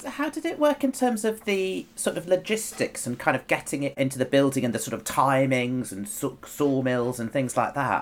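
With a normal speaking voice, a man talks at a moderate pace in a fairly high pitch, his intonation lively, on a very clean recording with a silent background. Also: hardly any pauses. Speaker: podcast co-host, architect. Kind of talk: interview questions.

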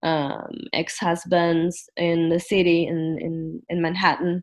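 A woman is speaking. Her pace is very slow. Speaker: guest. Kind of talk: casual chat. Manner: halting.

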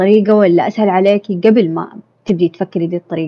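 In a plain, everyday voice, a woman speaks at a medium pitch with fairly even intonation and a fairly quick pace. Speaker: podcast guest. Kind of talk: casual chat.

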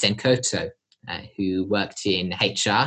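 This man's voice is somewhat breathy. He speaks at a very slow pace. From Australia (Sydney), born in southern England. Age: young. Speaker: conservationist. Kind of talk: interview.

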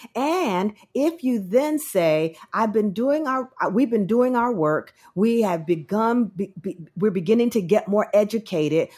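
Speaking in an American accent at a fairly slow pace, a woman uses a fairly high pitch, very wide pitch swings and an animated tone. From New Jersey, Trenton. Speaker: preacher and author. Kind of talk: interview conversation.

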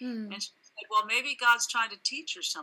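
A woman's bright, sharp tone with an American accent. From California, Santa Barbara. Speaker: ministry leader, former radio reporter. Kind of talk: interview testimony.

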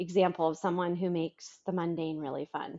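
An unremarkable speaking voice from a woman, at a moderate pace and fairly low pitch. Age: 30s. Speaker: author and marketing agency owner. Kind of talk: interview conversation.

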